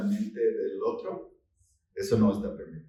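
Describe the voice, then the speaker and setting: A man with audible room echo. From United States. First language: English (speaking Spanish). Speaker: novelist. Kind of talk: book presentation interview. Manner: halting.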